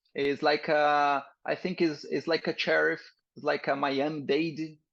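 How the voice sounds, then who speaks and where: In a quiet background, a man talks at a fairly high pitch with monotone, flat intonation. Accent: Portuguese. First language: Portuguese. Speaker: military firefighter and rescue crewman. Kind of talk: casual interview. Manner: halting.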